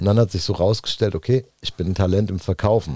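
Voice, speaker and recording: This very fast voice has a dark, mellow tone and a dry, close sound with no echo. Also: man. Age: 40s. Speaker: former convict turned real estate entrepreneur. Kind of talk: casual interview chat.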